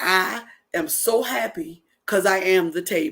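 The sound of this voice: Doing a put-on character voice, a woman growls at medium pitch. She keeps a moderate pace.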